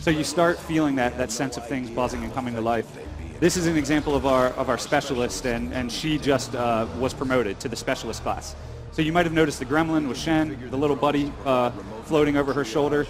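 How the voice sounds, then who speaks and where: Over noticeable background noise and audible room echo, the speaker goes at a very fast pace in an enthusiastic tone with ordinary pitch variation. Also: man, medium pitch for a man. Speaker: game developer presenting their game. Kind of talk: interview with live gameplay demo. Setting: convention stage.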